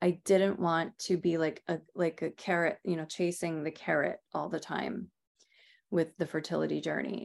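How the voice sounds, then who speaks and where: A woman with an American accent, fairly low in pitch with vocal fry, at a moderate pace with fairly even intonation, on a very clean recording with a silent background. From Rhode Island, US. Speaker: Ayurvedic practitioner and author. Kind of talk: interview.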